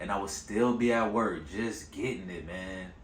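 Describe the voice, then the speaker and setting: A fairly low-pitched man at a moderate pace, ordinary pitch variation, and audible room echo. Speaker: vlogger. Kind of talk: casual monologue to camera. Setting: on camera.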